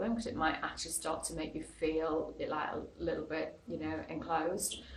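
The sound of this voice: A woman's low-pitched voice with audible room echo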